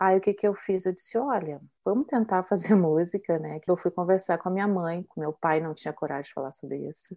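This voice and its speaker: Fairly quick speech with hardly any pauses, big swings in loudness and ordinary pitch variation, in a southern Brazilian accent. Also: woman, medium pitch for a woman. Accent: gaúcho Brazilian Portuguese. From southern Brazil, Rio Grande do Sul (São Borja, Porto Alegre). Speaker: singer. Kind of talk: interview.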